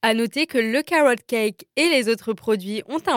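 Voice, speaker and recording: A woman speaks very slowly with lively intonation and a fairly high pitch. The recording is very clean and dry, close with no echo and a silent background. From Strasbourg, Alsace, France. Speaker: podcast host. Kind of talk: scripted narration. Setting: on location in a café.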